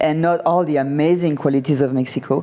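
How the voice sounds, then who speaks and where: In a French accent, this woman talks at a moderate tempo. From France. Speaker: interview guest, expat. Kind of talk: casual interview.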